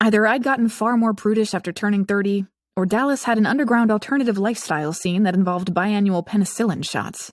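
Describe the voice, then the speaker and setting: At a fairly quick pace with fairly even intonation, a plain, everyday voice comes through a very clean recording with a silent background and a dry, close sound with no echo. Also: woman. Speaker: audiobook narrator. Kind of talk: audiobook narration. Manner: wry, sarcastic.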